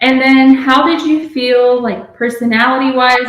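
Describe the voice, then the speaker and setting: A woman talks at a fairly slow pace, and audible room echo surrounds her voice. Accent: American. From Texas. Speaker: PA school applicant. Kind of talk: casual chat. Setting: video call at home. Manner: stutters when nervous; clear.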